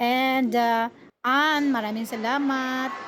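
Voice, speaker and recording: Her pitch is high, and the woman's intonation shifts in an ordinary way. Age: 60s. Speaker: vlogger. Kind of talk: casual vlog narration. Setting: outdoors at a café. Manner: polite, uses 'po' often.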